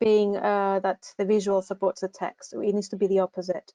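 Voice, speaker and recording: A woman's dark, mellow voice in a flat monotone, with a dry, close sound and no echo. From Greece. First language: Greek. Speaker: university recruitment assistant. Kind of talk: online advice session. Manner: hesitant, many fillers.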